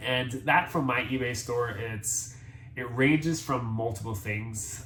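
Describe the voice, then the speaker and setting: Very slow in pace, a man with an American accent speaks with ordinary pitch variation and audible room echo. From Jamaica, Montego Bay. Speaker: thrift reseller and military medical worker. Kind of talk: casual vlog introduction.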